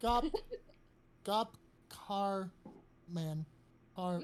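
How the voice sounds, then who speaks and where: Here a woman puts on a character voice. She speaks at a medium pitch. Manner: stuttering, repeating sounds.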